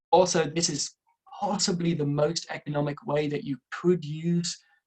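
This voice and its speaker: Somewhat breathy, a man talks in an Irish accent with fairly even intonation. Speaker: renewable energy engineer, webinar presenter. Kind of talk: webinar presentation. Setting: online webinar. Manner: fast.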